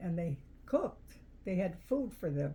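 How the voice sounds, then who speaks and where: Somewhat breathy, a woman speaks at a moderate pace in a dark, mellow tone. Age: 80s+. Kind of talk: interview answer.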